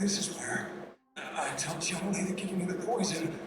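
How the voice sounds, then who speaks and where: A man does a put-on character voice that is raspy and high, at a moderate pace with flat, monotone intonation. His loudness stays very even, and a clear echo follows. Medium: video game. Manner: strained, halting.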